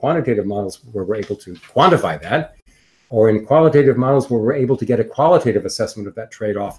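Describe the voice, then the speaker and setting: A man with an American accent talks at a very fast pace. His medium-pitched voice is somewhat breathy. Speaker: decision theory professor. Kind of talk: lecture. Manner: hesitant, many fillers.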